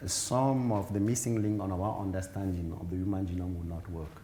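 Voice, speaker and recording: A man's dark, mellow, somewhat breathy voice, fairly low in pitch with ordinary pitch variation, fairly quick in pace, with audible room echo. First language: African mother tongue, then French. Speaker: genetics professor, keynote speaker. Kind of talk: conference Q&A answer. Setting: conference hall, also streamed online. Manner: halting, with repetitions and fillers.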